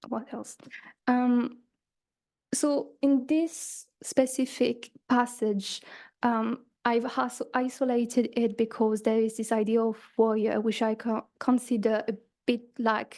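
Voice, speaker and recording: A woman with a non-native accent speaks at a very slow pace in a fairly high pitch with a dark, mellow tone. Her intonation is monotone and flat, and the background is quiet. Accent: foreign accent, noticeable. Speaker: conference presenter, student writer. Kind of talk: conference talk. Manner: hesitant, many fillers and restarts.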